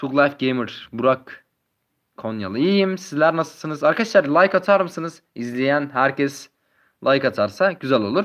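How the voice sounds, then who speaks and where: This man has an unremarkable speaking voice with a fairly high pitch and lively intonation. He talks at a moderate pace over a quiet background. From Turkey, Adıyaman. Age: 20s. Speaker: gaming YouTuber. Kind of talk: live stream chat with viewers. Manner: casual, reading chat aloud.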